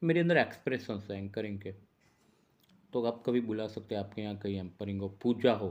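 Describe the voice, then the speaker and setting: A man is speaking. His pitch is fairly low. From India, Gujarat (Ahmedabad). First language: Gujarati (speaking Hindi). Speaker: journalist and astrologer. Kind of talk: casual vlog monologue. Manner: unscripted, rambling.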